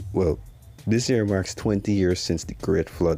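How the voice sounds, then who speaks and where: With music in the background, a man speaks at a fairly quick pace and a fairly low pitch in a Guyanese accent. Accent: Guyanese Creole-tinged English. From Guyana, Georgetown. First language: Guyanese Creole. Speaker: YouTuber. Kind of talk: educational commentary. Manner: casual, conversational.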